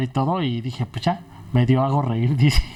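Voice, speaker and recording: Using ordinary pitch variation, a man talks very fast. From Mexico, Puebla. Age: 30s. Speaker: stand-up comedian. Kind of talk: casual interview chat.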